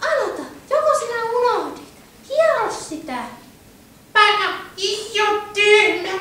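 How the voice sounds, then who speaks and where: In a cartoonish character voice at an extremely high pitch, a woman speaks with long, frequent pauses and a slight echo. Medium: puppet show. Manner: excitable, bossy toward husband.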